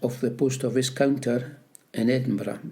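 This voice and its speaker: Audible room echo follows a man whose medium-pitched voice has a dark, mellow tone and fairly even intonation. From Scotland, Peebles (Scottish Borders). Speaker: retired postmaster and army veteran. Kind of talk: oral history interview. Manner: halting.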